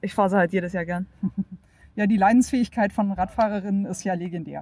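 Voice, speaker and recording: A woman talks at a fairly quick pace in a dark, mellow tone, her pitch medium and her intonation fairly even. The recording is very clean, with a silent background. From Germany. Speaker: professional cyclist. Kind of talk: interview.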